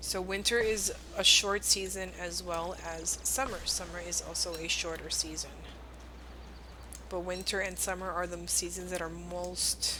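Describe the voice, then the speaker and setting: Audible room echo surrounds a woman as she talks fairly slowly. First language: Spanish. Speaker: video game streamer. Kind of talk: live game streaming commentary. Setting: live stream with chat.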